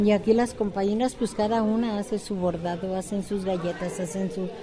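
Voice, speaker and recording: Woman at a fairly slow pace, with audible room echo and music in the background. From Mexico, southern Jalisco. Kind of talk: interview.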